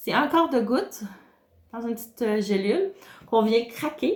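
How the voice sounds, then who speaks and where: A woman talks in a somewhat breathy voice, her pitch varying in an ordinary way. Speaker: wellness consultant. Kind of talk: tutorial. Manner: hesitant, many filler sounds.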